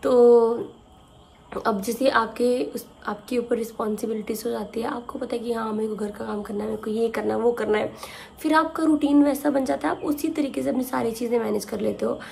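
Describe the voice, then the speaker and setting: A woman speaks at a moderate pace with lively intonation and a fairly high pitch. Noticeable background noise runs underneath. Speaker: vlogger. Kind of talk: casual vlog talk to camera.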